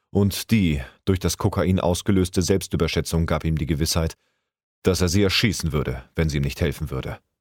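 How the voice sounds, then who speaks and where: Very deep and low with vocal fry, a man's voice moves at a fairly quick pace in a very clean recording with a silent background. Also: dry, close sound with no echo. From Hamburg, northern Germany. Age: 30s. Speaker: amateur voice actor. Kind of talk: reading aloud.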